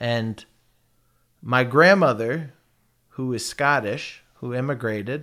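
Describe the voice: With an American accent, a man speaks at a slow pace in a medium pitch. His tone is bright and sharp, with ordinary pitch variation.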